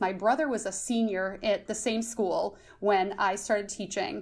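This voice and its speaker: In a plain, everyday voice, a woman with an American accent speaks at a moderate pace and medium pitch. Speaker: high school social studies teacher. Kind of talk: casual interview. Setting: podcast interview.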